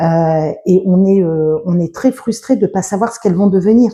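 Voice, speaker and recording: Somewhat breathy woman's voice with a dark, mellow tone, medium pitch, ordinary pitch variation and a moderate pace. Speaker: book reviewer / video blogger. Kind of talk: casual book review monologue. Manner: halting, many fillers and self-corrections.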